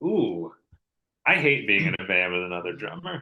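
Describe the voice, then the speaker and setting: With vocal fry and a bright, sharp tone, a man talks at a moderate pace, his pitch swinging very widely. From the Carolinas. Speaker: drummer and record producer. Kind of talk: casual chat.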